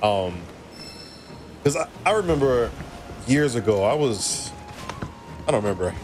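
A man with an American accent speaks at a medium pitch with lively intonation over light background noise. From Alabama, US South. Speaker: gaming streamer. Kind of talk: casual live-stream chat. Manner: casual, rambling with fillers. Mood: relaxed, reflective. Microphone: studio mic.

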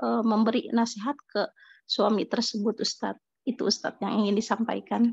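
A woman with a fairly high pitch speaks in a flat monotone with vocal fry. Her pace is moderate. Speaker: participant asking question. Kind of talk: question to a teacher. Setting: online video call.

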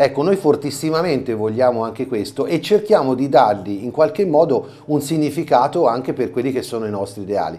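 The delivery is fairly quick with hardly any pauses, pairing lively intonation with a dark, mellow tone. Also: man, fairly high pitch for a man. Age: 50s. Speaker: carnival mask performer and theatre director; TV guest. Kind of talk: interview; interview answer. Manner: halting. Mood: earnest, explaining. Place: studio. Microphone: lapel.

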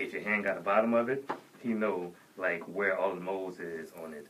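At a moderate pace, a man talks. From New Orleans. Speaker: radio host. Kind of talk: casual chat; casual talk show banter. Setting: studio. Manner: animated. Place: studio. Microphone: studio mic.

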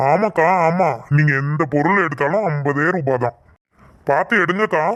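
In a cartoonish character voice, a man talks at a fairly slow pace with a fairly high pitch and very even loudness. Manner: chatty, loud hawking.

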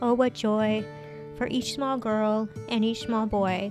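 Music plays in the background as a woman with a fairly high pitch talks at a very slow pace. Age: 40s. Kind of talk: poetry reading.

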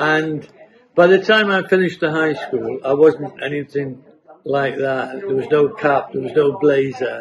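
A man talking at a fairly slow pace with ordinary pitch variation, against noticeable background noise. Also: fairly high pitch for a man. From North East England, North Shields / Cullercoats. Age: 80s. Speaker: local resident sharing memories. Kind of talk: oral history interview. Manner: conversational, with hesitations.

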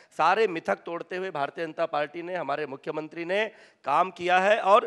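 A man speaks in a high pitch at a fairly slow pace. The background is quiet. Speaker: politician guest. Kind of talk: debate answer. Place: stage. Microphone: handheld.

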